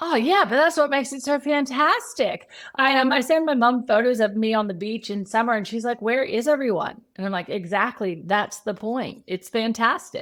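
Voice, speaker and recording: Lively intonation at a moderate pace with hardly any pauses. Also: woman, high pitch for a woman. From Texas. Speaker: social media strategist. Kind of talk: podcast interview.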